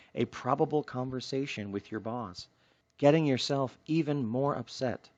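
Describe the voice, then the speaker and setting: Soft-spoken and at a medium pitch, a man talks at a moderate pace with lively intonation. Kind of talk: self-help book reading.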